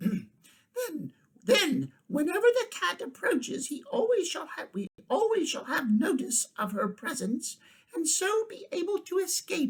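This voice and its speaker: A put-on character voice, high in pitch and squeaky, moves through very wide pitch swings at a fairly slow pace. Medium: read story.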